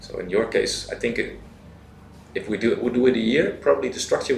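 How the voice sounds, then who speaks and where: A fairly quick pace with audible room echo. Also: man. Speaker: university teacher, coach. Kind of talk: interview.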